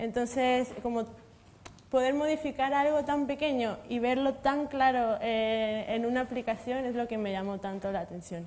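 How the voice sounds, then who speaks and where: At a fairly slow pace, a woman talks in a high voice with ordinary pitch variation. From Mexico. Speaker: materials science researcher. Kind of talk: panel discussion.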